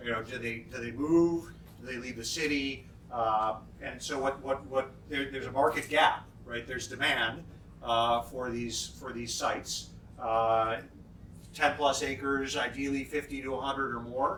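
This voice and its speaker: Audible room echo surrounds a man whose intonation stays fairly even. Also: medium pitch for a man. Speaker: city development official. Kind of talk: lunchtime keynote talk. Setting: conference lunch with audience. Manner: fast; many fillers and repeated words.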